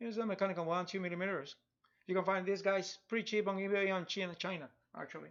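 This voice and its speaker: Over a quiet background, a man with a Spanish accent speaks at a very fast pace and high pitch, with long, frequent pauses, big swings in loudness and ordinary pitch variation. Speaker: digital artist. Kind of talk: live drawing tutorial stream. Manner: halting, many repetitions; casual, chatty. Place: home room.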